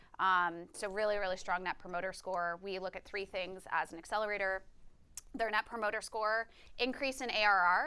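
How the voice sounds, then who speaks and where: A woman with a bright, sharp tone speaks at a medium pitch, keeping her intonation fairly even. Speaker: venture investor and accelerator partner. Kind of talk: workshop talk. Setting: live webinar with audience. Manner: fast; merges words together.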